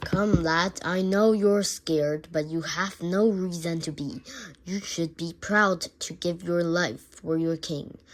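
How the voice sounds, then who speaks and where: The speaker uses a put-on character voice. It sits at middle pitch and moves at a fairly slow pace. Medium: read story. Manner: imperious, demanding.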